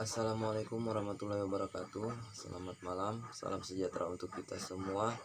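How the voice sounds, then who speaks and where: The speech moves at a very fast pace in a flat monotone. Background noise is noticeable. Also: man, fairly low pitch for a man. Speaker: duck breeder. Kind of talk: tutorial.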